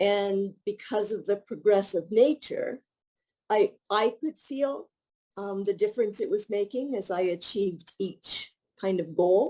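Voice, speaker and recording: At a fairly slow pace, a woman with a Canadian accent speaks at a medium pitch. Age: 60s. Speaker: retired teacher, fitness program member. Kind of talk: testimonial interview. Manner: halting, with fillers and restarts.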